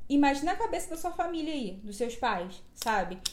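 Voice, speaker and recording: A woman talks at a high pitch, and audible room echo fills the clip. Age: 20s. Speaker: podcast host. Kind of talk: reading aloud; casual chat.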